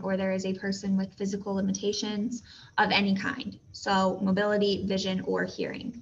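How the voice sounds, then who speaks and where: A woman's somewhat breathy, medium-pitched voice carries audible room echo. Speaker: teacher. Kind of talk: lecture. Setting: recorded video lesson.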